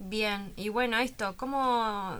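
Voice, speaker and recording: With a bright, sharp tone and fairly even intonation, a woman speaks at a medium pitch on a very clean recording with a silent background. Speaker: university radio host. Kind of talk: radio interview.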